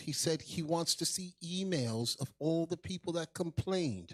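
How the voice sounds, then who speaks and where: A loud, high-pitched male voice at a fairly slow pace, dry and close with no echo. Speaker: livestream show host, religious teacher. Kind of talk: livestream show hosting. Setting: livestream video call.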